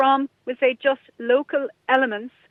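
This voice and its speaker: A woman speaks with a Kerry accent in a monotone, flat intonation. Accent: Kerry Irish. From Ireland, Kerry (Dingle area). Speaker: radio presenter and online entrepreneur. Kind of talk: interview.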